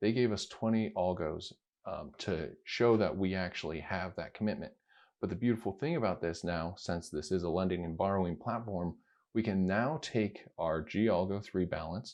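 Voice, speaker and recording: A man with a very deep, low voice speaks at a moderate pace with ordinary pitch variation against a quiet background. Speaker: crypto video creator. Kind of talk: screen-recorded tutorial.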